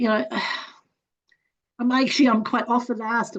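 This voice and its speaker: A woman's somewhat breathy, fairly high voice against a quiet background. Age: 70s. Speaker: psychic medium. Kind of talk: interview.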